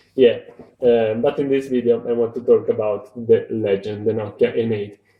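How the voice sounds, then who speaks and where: A man with a Romanian accent and medium pitch speaks at a fairly slow pace. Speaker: tech video reviewer. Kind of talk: casual video review. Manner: halting. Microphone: recorded on an old phone.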